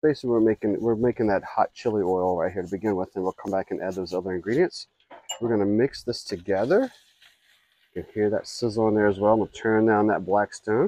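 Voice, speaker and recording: Talking at a very fast pace, a man has a dark, mellow tone, fairly low pitch and ordinary pitch variation, with a dry sound and no echo. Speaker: griddle cook host. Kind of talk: cooking tutorial. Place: garden.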